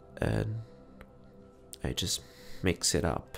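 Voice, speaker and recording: A soft-spoken man whispers with music in the background. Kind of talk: ASMR cooking video, casual talk to camera. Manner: whispered, soft-spoken.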